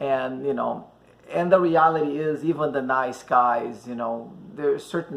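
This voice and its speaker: Lively intonation at a moderate pace, with a Brazilian accent. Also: man. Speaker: dating advice host. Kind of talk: casual chat. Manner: halting, many fillers.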